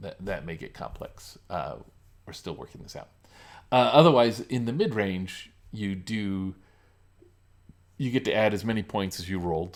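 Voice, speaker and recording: Taking long, frequent pauses, a man with a fairly low pitch speaks at a moderate pace with lively intonation. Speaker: game designer live streamer. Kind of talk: live stream design talk. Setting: live stream. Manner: halting, many fillers.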